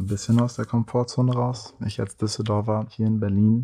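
This man's voice has a dark, mellow tone. There is a somewhat breathy quality to it. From Germany, Düsseldorf. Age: 20s. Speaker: artist, blind date contestant. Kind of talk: casual chat.

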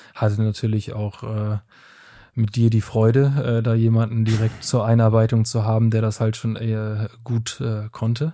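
Dark and mellow in tone, a man's medium-pitched voice stays monotone and flat at a moderate pace on a very clean recording with a silent background. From Germany. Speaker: product manager. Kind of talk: casual chat.

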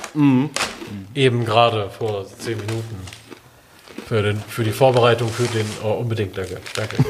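A man speaks at a medium pitch and a moderate pace, with fairly even intonation. Noticeable background noise runs under his voice. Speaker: podcast co-host. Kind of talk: casual chat.

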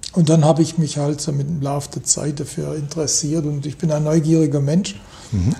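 Noticeable background noise behind a man at a moderate pace, fairly high in pitch, with fairly even intonation. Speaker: economist. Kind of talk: interview. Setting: office with view over city. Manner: hesitant, many fillers.

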